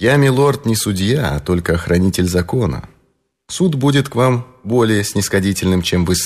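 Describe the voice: Plain reading aloud with lively intonation takes place against a quiet background.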